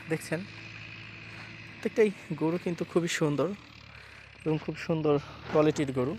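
An ordinary speaking voice from a man, fairly high in pitch, with ordinary pitch variation. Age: 20s. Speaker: village vlogger. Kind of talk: casual chat; vlog narration. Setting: outdoors.

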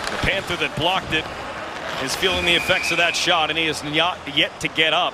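Background noise is noticeable behind a man speaking. His pitch is high, and his pace is fairly quick. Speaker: play-by-play commentator. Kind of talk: live sports commentary, play-by-play over game highlights. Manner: fast, clipped, excitable call that rises on goals; rapid-fire, terse phrases.

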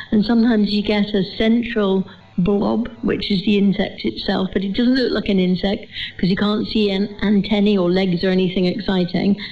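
A woman with a medium pitch speaks at a moderate pace, her intonation fairly even and touched with vocal fry. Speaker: gardening expert panelist. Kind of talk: panel discussion on live radio. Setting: stage with audience.

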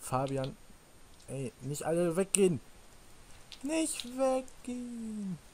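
Very slowly and with long, frequent pauses, a man speaks in a high voice whose pitch swings very widely, over light background noise. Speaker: gaming YouTuber. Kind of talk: Let's Play commentary. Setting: voice chat over Skype/Teamspeak. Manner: animated. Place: home room. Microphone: headset.

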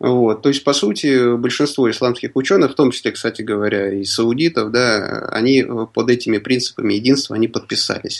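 This man's pitch is medium and varies in an ordinary way. He moves along at a fairly quick pace. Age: 30s. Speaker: writer and lawyer. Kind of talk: radio interview. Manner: halting.

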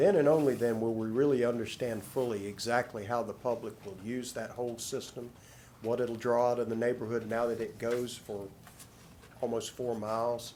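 Audible room echo accompanies fairly even intonation delivered at a moderate pace. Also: man, medium pitch for a man. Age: 60s. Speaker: resident speaking at meeting. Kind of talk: public comment.

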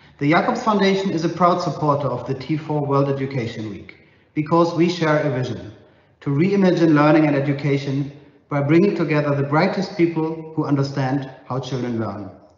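At a fairly quick pace, a man speaks with ordinary pitch variation amid audible room echo. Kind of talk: prepared video message. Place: home room. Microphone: lapel.

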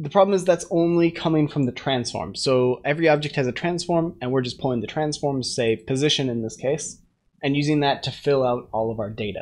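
The speech moves at a fairly quick pace over a quiet background. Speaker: programmer streamer. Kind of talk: tutorial. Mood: relaxed, occasionally laughing. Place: home room.

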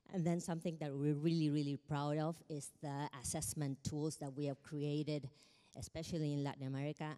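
The voice has a dark, mellow tone and fairly even intonation, moving at a moderate pace against a quiet background. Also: woman. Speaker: keynote speaker. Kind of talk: conference keynote talk. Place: hall. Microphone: handheld.

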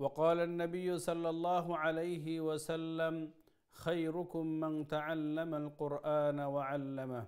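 A man at a very slow pace with monotone, flat intonation, over a quiet background. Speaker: TV presenter. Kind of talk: opening invocation and prayers. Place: studio. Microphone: lapel.

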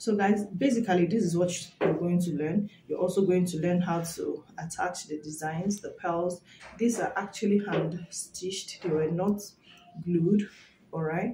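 Talking at a fairly slow pace, a woman keeps her intonation fairly even. Audible room echo and light background noise surround her voice. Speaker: hat-making trainer. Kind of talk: tutorial promo chat. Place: home room. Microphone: phone near.

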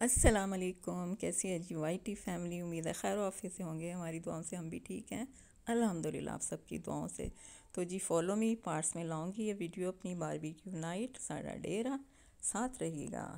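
A woman speaks at a fairly slow pace. Her tone is dark and mellow, with ordinary pitch variation. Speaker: vlogger filming the event. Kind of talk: casual vlog chat. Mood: cheerful. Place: home room. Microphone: phone near.

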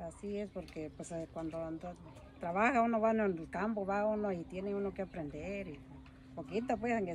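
Vocal fry runs through a woman's medium-pitched voice, which has ordinary pitch variation and a moderate pace. The sound is dry with no echo, and there is noticeable background noise. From Mexico, Oaxaca (Mixtec highlands); Oaxaca, Mexico. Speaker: farmer. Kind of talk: casual chat. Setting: outdoors. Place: garden. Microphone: phone near.

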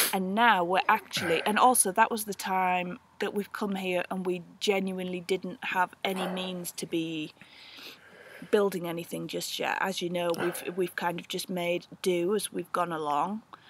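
Spoken at a fairly slow pace in a flat monotone, the voice sounds dry with no echo, over noticeable background noise. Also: woman, medium pitch for a woman. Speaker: homesteader vlogger. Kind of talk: casual vlog chat. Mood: relaxed, reflective. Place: open country. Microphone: phone near.

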